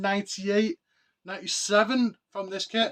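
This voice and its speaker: The delivery keeps a moderate pace with ordinary pitch variation. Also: man. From northern England, Oldham, Greater Manchester. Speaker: collectibles YouTuber. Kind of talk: casual show-and-tell vlog. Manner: animated.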